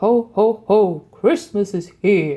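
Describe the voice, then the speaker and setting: A man puts on a character voice pitched high. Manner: jolly, booming.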